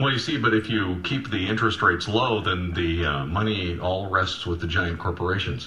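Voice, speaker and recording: A man with a very deep, low pitch talks with hardly any pauses and ordinary pitch variation, amid noticeable background noise and audible room echo. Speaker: radio talk show host. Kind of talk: call-in radio interview. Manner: fast.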